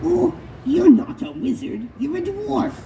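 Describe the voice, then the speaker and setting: A cartoonish character voice at a fairly slow pace over clear background noise. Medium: puppet show. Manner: fussy, flustered.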